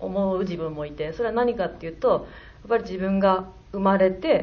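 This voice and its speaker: At a moderate pace and medium pitch, a woman speaks with audible room echo. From Hyogo, Kansai (Kakogawa). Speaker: film director. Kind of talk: post-screening talk. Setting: stage with audience.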